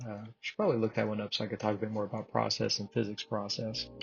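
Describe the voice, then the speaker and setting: A man talks in a medium pitch. There is a somewhat breathy quality to it. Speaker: game development tutorial creator. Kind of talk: tutorial. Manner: mumbles and talks fast.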